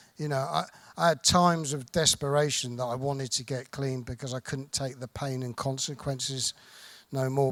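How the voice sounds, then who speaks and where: A man with a southern English accent speaks in a monotone, flat way at medium pitch, the sound dry and close with no echo in a very clean recording with a silent background. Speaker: recovering addict sharing at convention. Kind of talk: recovery testimony. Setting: stage with audience. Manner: soft-spoken; halting.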